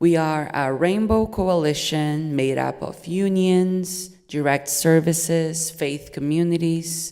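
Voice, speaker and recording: Speaking very slowly in a Portuguese accent, a woman has a very deep, low pitch, a dark, mellow tone and fairly even intonation. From Brazil. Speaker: nonprofit development manager. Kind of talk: prepared speech read aloud.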